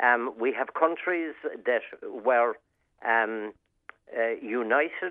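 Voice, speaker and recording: Speaking very slowly, a man uses a medium pitch and ordinary pitch variation. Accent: Irish. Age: 70s. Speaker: regular contributor. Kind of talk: radio chat. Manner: halting.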